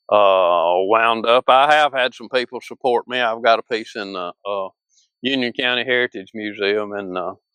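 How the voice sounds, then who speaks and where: In a Mississippi accent, a man speaks at a moderate pace and medium pitch with ordinary pitch variation and a bright, sharp tone, over a quiet background with a dry, close sound with no echo. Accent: Mississippi Southern US. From northern Mississippi. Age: 60s. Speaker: sculptor. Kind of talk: interview. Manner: halting.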